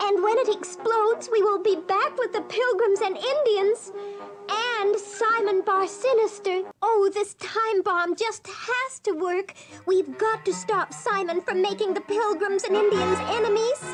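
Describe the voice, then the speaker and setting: A cartoonish character voice, female-sounding and extremely high-pitched, sing-song at a moderate pace over clear music in the background. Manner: sing-song, fretful.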